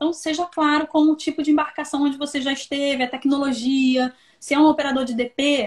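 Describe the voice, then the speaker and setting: Monotone, flat intonation delivered at a fairly quick pace. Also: woman, high pitch for a woman. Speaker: recruitment consultant. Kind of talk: live stream interview giving career advice. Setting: online live stream.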